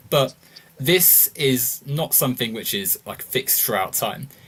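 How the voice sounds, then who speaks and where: A man with a British accent, medium in pitch. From United Kingdom. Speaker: podcast host. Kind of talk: casual political discussion. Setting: livestream.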